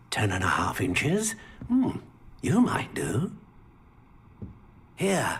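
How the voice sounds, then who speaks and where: A man mumbles in a put-on character voice. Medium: video game. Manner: mumbling, hesitant, full of hums and filler sounds.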